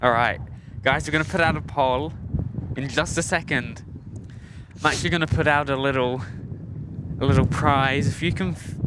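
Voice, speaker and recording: A man with a British accent speaks at a moderate pace and fairly high pitch, with fairly even intonation. He leaves long, frequent pauses over noticeable background noise. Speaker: plane spotting livestream host. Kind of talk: casual live stream chat. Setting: outdoors at an airport. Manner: casual, hesitant with fillers.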